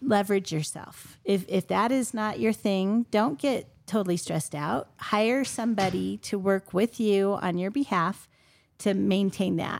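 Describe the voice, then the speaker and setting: This woman speaks fairly slowly at a medium pitch, with ordinary pitch variation. She has an ordinary speaking voice. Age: 50s. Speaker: real estate agent. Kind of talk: roundtable discussion.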